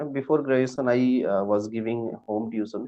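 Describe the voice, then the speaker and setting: Someone speaks with an Indian accent at a moderate pace, with fairly even intonation. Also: man. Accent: Indian accent, wants to lose it. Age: 20s. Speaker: teacher and English learner. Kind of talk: online English lesson chat. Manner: halting, many fillers.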